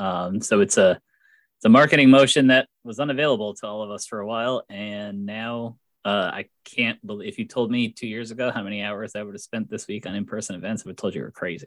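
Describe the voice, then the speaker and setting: A man's plain, everyday voice, fairly low in pitch with ordinary pitch variation, in a dry, close recording with no echo and a very clean, silent background. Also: fairly quick pace. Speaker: podcast host. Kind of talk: interview.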